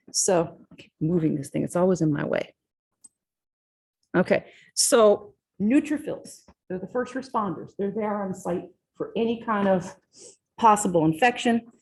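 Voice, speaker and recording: A woman speaks in a somewhat breathy voice with lively intonation. Her loudness swings widely, and she takes long, frequent pauses. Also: medium pitch for a woman, moderate pace. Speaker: physiology professor. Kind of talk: lecture. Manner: casual, conversational.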